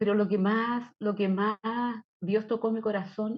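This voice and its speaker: Her voice is fairly high in pitch. The woman speaks at a moderate pace. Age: 60s. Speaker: church member. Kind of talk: testimony.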